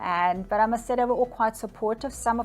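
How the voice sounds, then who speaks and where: Talking at a fairly quick pace with a German accent, a woman keeps a medium pitch and fairly even intonation over noticeable background noise. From Germany, Bavaria. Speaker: psychic medium. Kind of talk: interview answers. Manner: conversational with hesitations.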